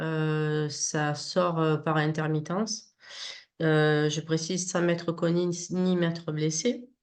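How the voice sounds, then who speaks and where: This woman's voice has a fairly low pitch. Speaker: interviewee describing personal experiences. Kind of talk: testimony. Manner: halting.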